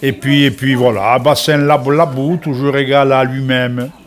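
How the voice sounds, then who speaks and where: A man is speaking. Music plays in the background. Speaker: TV show co-host. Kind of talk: casual closing chat on TV cooking show.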